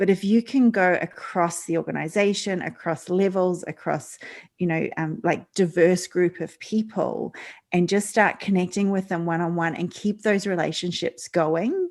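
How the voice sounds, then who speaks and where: A woman's fairly even intonation in an Australian accent. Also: medium pitch for a woman, moderate pace. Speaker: leadership coach. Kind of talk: interview. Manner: halting, many fillers.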